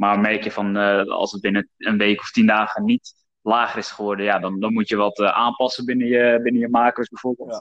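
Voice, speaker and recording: This man's pitch sits in the medium range, delivered at a fairly quick pace. His intonation is monotone and flat. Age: 20s. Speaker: podcast host and former personal trainer. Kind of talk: casual chat.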